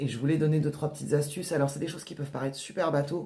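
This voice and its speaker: Speaking very fast with audible room echo, a woman uses a very deep, low pitch and a dark, mellow, somewhat breathy tone. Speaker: author and writing workshop leader. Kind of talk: casual vlog talk. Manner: hesitant, many fillers.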